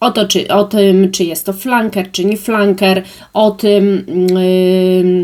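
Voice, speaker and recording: At a very slow pace, a woman talks in a medium pitch. Her loudness stays very even. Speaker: beauty and perfume vlogger. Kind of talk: product review monologue. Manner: hesitant with many fillers.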